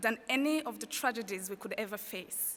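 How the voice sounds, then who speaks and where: A woman speaks with a French accent. Her pace is moderate and her pitch variation ordinary. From Rwanda. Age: 20s. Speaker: student speaker, college graduate. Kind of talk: commencement speech. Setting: stage with audience.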